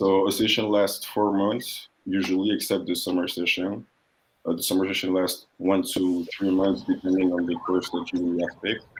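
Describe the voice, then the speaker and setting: In a French accent, a man with a very deep, low pitch speaks at a moderate pace, with monotone, flat intonation and very even loudness. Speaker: international student. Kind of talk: interview / panel talk.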